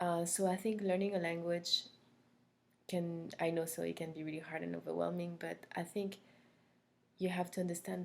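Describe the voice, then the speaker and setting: Her intonation monotone and flat, a woman with a French accent speaks at a fairly low pitch. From France (Corsica). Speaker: language instructor. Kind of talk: recorded course introduction. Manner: hesitant, many fillers.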